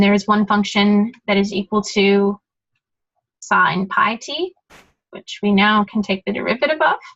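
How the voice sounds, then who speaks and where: In an ordinary speaking voice, a woman of medium pitch talks at a fairly slow pace, with a dry, close sound and no echo. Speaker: study group tutor. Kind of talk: tutorial. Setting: recorded study session. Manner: casual, many filler words.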